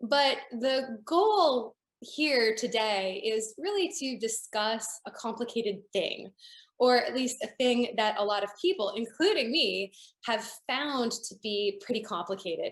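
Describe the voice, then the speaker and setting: This is an unremarkable speaking voice delivered at a fairly slow pace. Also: woman, fairly high pitch for a woman. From Canada, Toronto. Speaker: building science consultant. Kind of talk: lecture.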